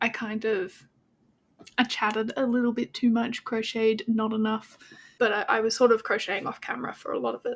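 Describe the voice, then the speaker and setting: A woman with an Australian accent talks at a fairly quick pace, her fairly high voice held in a monotone, flat intonation. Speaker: crochet vlogger. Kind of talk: casual vlog chat. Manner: chatty.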